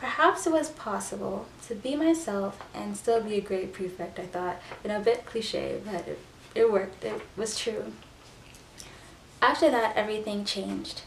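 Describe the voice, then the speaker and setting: A woman at a moderate pace amid noticeable background noise and audible room echo. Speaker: YouTuber. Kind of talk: reading aloud.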